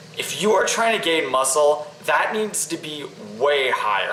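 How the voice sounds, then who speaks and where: Amid noticeable background noise and audible room echo, a man speaks with a fairly high pitch and ordinary pitch variation. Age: young. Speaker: fitness vlogger. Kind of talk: casual tutorial. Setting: kitchen. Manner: casual, with fillers.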